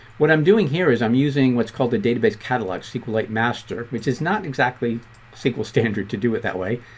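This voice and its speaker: Words come out at a very fast clip from this man. His volume rises and falls sharply. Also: medium pitch for a man, ordinary pitch variation. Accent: Boston. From Boston, US. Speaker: programming instructor. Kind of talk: tutorial.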